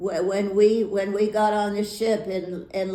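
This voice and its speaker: A woman speaks very slowly at medium pitch in a dark, mellow tone, with audible room echo. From US, Navy family; Hawaii and Florida. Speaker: retired teacher. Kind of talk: life story interview. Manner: halting, many fillers and repeats.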